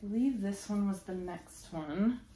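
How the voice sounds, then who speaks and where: Very slowly, a woman speaks at medium pitch with lively intonation. Her voice carries audible room echo. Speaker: crafting youtuber. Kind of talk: casual show-and-tell vlog. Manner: mumbling; hesitant, filler-heavy.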